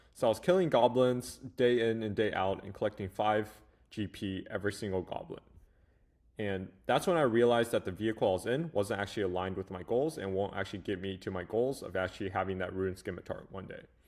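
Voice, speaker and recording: Speaking very fast, a man talks in a Chinese accent. His pitch is fairly low, with ordinary variation. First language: Mandarin Chinese. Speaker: AI agency coach, YouTuber. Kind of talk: casual talking-head video.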